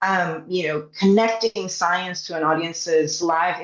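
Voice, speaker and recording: A woman with a Spanish accent speaks at a moderate pace and medium pitch. Her intonation is fairly even, with noticeable background noise. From Puerto Rico. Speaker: science communicator. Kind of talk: panel discussion.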